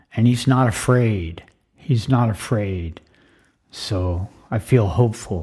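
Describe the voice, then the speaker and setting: Somewhat breathy, with a dark, mellow tone and a fairly low pitch, a man with an American accent speaks at a very slow pace with ordinary pitch variation. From United States. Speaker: podcaster. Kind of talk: personal monologue. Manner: emotional.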